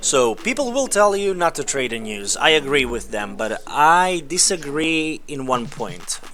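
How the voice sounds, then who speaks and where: A man speaks at a fairly slow pace with hardly any pauses, his pitch swinging very widely. He has a non-native accent, and background noise is noticeable. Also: fairly high pitch for a man. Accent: non-native accent, self-described as awful. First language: not English. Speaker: trading educator. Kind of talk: screen-share tutorial. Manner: hesitant, some false starts.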